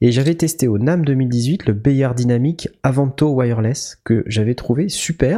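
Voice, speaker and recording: A man's dark, mellow tone, somewhat breathy. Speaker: podcast host. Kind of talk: casual chat. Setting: new empty studio.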